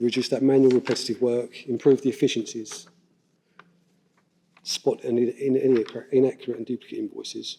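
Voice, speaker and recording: Mumbling at a fairly quick pace, a man speaks at medium pitch with a dark, mellow tone. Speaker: council IT development manager, conference presenter. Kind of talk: conference presentation.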